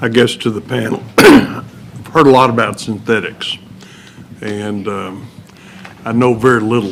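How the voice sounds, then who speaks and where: A man with a West Texas accent speaks at a fairly slow pace and medium pitch, with fairly even intonation. He takes long, frequent pauses, and there is noticeable background noise. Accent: West Texan. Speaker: legislator. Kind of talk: committee questioning.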